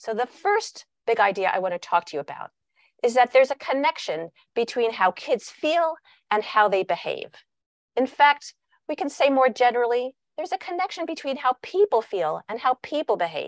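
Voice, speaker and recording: Her pitch high and swinging very widely, a woman speaks at a moderate pace, recorded dry with no echo against a quiet background. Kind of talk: lecture. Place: home room. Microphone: video call.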